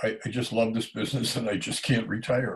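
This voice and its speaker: His voice sits at a medium pitch and is somewhat breathy. The man keeps a moderate pace. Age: 70s. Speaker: janitorial business owner and coach. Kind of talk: casual business talk to camera.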